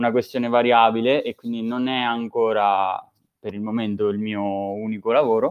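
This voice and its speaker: Here a man talks at a moderate pace and medium pitch. His intonation is monotone and flat. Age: 20s. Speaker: app developer. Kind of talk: casual chat. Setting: live online recording.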